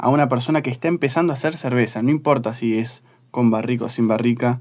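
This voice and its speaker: A man talks at a medium pitch with ordinary pitch variation. He has an unremarkable speaking voice, captured in a very clean recording with a silent background. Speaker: beer magazine journalist. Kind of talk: casual interview.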